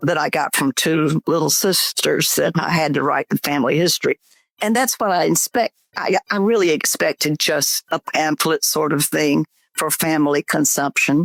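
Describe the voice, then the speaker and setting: Speaking in a Southern US accent, a woman with a very deep, low voice talks at a fairly slow pace and very even loudness, the sound dry and close with no echo. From US South, Georgia. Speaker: memoir author. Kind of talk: interview.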